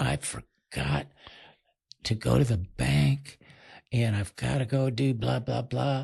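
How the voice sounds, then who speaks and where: This man's voice sits at a medium pitch and is somewhat breathy. His pitch swings very widely. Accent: American. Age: 70s. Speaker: podcast guest in recovery. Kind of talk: casual chat.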